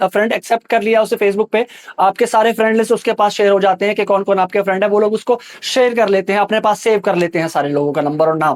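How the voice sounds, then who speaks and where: A man with a high pitch talks with hardly any pauses and very even loudness, dry and close with no echo, over noticeable background noise. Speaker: social media creator giving a scam warning. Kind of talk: public warning video. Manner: fast; urgent, pleading.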